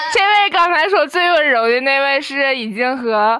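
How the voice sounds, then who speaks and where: Speaking at a very slow pace, a woman uses a raised, projected voice with a high pitch and lively intonation. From Northeast China. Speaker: college student. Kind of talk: casual chat. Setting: dorm room. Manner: halting.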